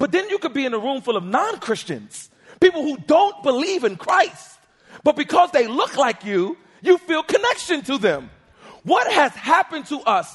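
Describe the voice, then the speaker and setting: Pitched extremely high, a man speaks in an animated tone with very wide pitch swings. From Harlem, New York City. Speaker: pastor. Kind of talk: sermon. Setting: church.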